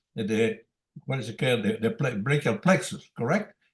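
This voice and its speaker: This man speaks with a fairly high pitch and a somewhat breathy quality. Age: 80s+. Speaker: senior trauma surgeon. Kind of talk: case discussion in an online medical meeting. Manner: halting.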